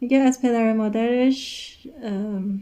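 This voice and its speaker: A woman with a Persian accent speaks at a fairly high pitch with ordinary pitch variation. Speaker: English teacher. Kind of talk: lesson.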